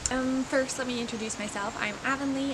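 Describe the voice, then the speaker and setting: A soft-spoken woman talks with ordinary pitch variation, with audible room echo and noticeable background noise. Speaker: small business owner and hobby painter vlogger. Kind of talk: casual vlog talk to camera. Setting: outdoors in backyard. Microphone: no mic, quiet recording.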